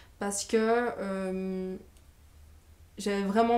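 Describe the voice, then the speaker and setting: Flat, monotone female speech of medium pitch, its tone dark and mellow. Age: 20s. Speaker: training graduate and business coach. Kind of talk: testimony. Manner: hesitant, many filler sounds.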